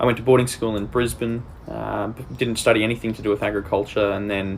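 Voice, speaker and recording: With an Australian accent, a man talks at a fairly quick pace and fairly low pitch with fairly even intonation. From Australia, rural Queensland. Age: 20s. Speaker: agtech business development lead. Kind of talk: career profile monologue.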